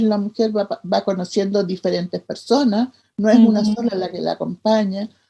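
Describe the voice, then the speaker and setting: A dark, mellow tone in a somewhat breathy female voice. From Chile. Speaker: midwife and leader of respected childbirth advocacy. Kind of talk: interview answer.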